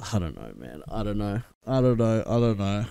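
Moderate pace and fairly even intonation from a man with an Australian accent, his pitch fairly low and his tone dark and mellow. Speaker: reaction video creator. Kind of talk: casual reaction commentary. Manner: casual, chatty.

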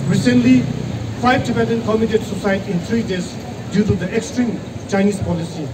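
A man talking at a fairly quick pace over loud background noise. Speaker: protest speaker. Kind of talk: protest speech. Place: street.

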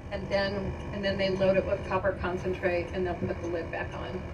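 Moderate pace from a woman, with noticeable noise behind her. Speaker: mine tour guide. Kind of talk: tour guide commentary. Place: bus.

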